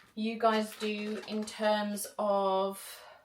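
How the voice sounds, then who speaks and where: A woman speaks with a British accent at a fairly high pitch. Noticeable background noise runs behind her. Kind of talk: casual vlog talk to camera.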